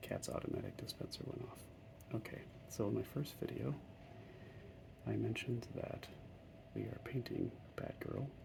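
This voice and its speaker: The speaker is soft-spoken at a moderate pace, with long, frequent pauses. Background noise is noticeable. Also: man. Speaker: hobby miniature painter. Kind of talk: casual talk while painting miniatures.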